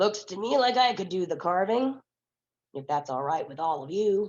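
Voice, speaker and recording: A put-on character voice, gravelly and set at a middle pitch, swings very widely in pitch. It moves at a moderate pace. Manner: calm, plain-spoken.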